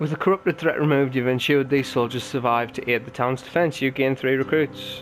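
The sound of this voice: Unforced reading voice, nothing more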